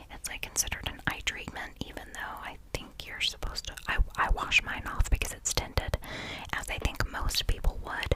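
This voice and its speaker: Over noticeable background noise, a woman whispers in an intense tone at a moderate pace. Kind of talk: ASMR whisper ramble about makeup products. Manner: whispered, intense.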